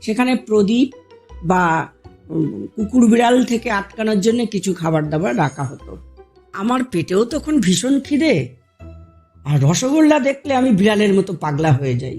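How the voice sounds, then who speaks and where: A woman talks at a medium pitch, her voice swinging very widely up and down. Music plays in the background. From India. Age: middle-aged. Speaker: housewife storyteller. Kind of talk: personal anecdote told to listeners. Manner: casual, humorous.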